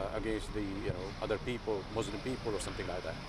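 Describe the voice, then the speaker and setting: Loud background noise surrounds a man talking at a fairly quick pace. The sound itself is dry, with no echo. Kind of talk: interview answer. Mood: earnest, concerned. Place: street. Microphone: lapel.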